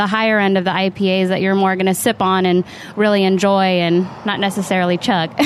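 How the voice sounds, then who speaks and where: Against noticeable background noise, a woman with a West Coast accent speaks at a fairly quick pace with monotone, flat intonation. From Northern California, Sacramento. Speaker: bartender. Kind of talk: casual interview chat.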